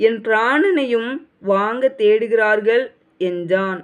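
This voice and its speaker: The woman's calm tone sits at a fairly high pitch for a woman, with ordinary pitch variation. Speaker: Bible reader. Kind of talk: reading aloud. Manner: emotional.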